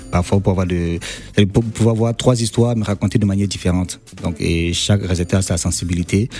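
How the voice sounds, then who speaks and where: A man's very deep, low voice at a fairly quick pace, fairly even in intonation, with noticeable background noise. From Cameroon. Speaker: film director. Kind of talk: radio interview.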